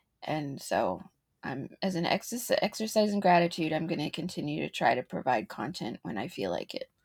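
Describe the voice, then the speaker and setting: A woman talks at a moderate pace. The recording is very clean, with a silent background and a dry, close sound with no echo. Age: 40s. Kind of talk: casual chat. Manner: laughs often.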